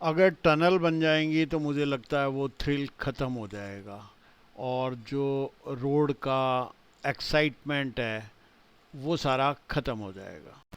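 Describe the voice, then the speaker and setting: Speaking at a fairly high pitch, a man shows ordinary pitch variation but big swings in loudness. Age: 60s. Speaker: travel vlogger. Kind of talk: vlog narration. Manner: casual, with filler hesitations.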